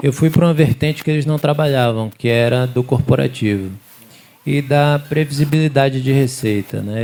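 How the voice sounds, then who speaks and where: A man with a Sergipe accent at medium pitch and moderate pace, over noticeable background noise. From Aracaju, Sergipe, Brazil. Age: 30s. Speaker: business chamber regional manager. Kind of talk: panel discussion.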